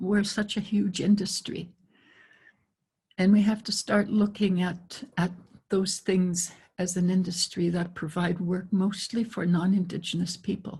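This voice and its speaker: Somewhat breathy and fairly slow, a woman speaks at a medium pitch with flat, monotone intonation. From northwest Saskatchewan, Canada. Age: 80s+. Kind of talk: panel discussion. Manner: halting, many repetitions.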